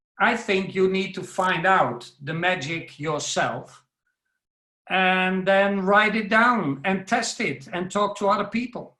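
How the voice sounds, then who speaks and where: A man with a Dutch accent speaks very slowly in a raised, projected voice. His pitch is high, with ordinary variation, and his tone is bright and sharp. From Netherlands. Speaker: professional speaker. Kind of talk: webinar talk. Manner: loud.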